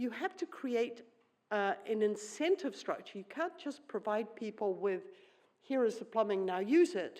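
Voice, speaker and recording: A woman speaks at a fairly slow pace with a fairly high pitch, a dark, mellow tone and very wide pitch swings. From New Zealand. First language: Swedish. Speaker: economist, keynote speaker. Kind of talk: conference keynote. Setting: conference plenary hall.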